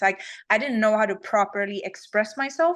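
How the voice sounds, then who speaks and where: A woman with a Swedish accent speaks at a fairly high pitch against a quiet background. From Sweden. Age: 30s. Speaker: fitness champion. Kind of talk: interview.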